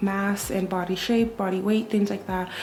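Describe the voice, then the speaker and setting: A woman with a medium pitch speaks in a monotone, flat intonation, with audible room echo and noticeable background noise. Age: 20s. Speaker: dental student and lifestyle vlogger. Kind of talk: casual vlog chat. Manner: chatty.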